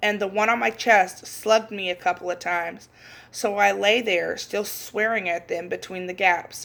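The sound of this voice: What we hear is an unforced reading voice.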